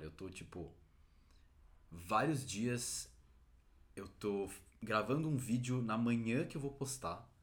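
With audible room echo, a man at a medium pitch speaks at a fairly slow pace with lively intonation and long, frequent pauses. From Brazil. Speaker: podcast host. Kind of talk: casual chat.

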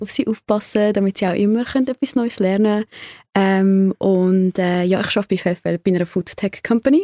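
The tone is dark and mellow, with ordinary pitch variation at a moderate pace. The sound is dry and close with no echo, on a very clean recording with a silent background. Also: woman. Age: 20s. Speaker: hospitality worker, podcast guest. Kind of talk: casual chat.

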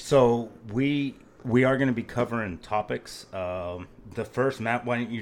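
With an American accent, a man speaks at a medium pitch with fairly even intonation. He has an unremarkable speaking voice. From Phoenix, Arizona. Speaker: podcast co-host. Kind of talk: casual chat.

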